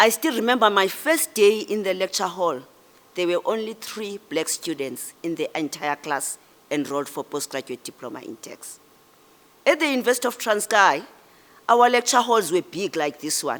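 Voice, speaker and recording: A woman with a South African accent, medium-pitched, with very wide pitch swings at a moderate pace. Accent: Xhosa South African English. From South Africa, Eastern Cape. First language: isiXhosa. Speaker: public official and guest speaker. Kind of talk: ceremonial speech.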